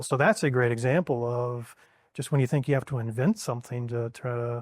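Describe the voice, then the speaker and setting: Speaking at a fairly quick pace, a man with an American accent uses a plain, everyday voice at a medium pitch. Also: quiet background. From Texas, Dallas area. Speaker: restaurant chain executive. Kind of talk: interview.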